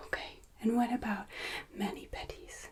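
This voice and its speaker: This woman is soft-spoken, with a high pitch and a gentle tone. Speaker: ASMR creator. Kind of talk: ASMR roleplay as a hotel and spa receptionist. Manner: soft-spoken, gentle, polite.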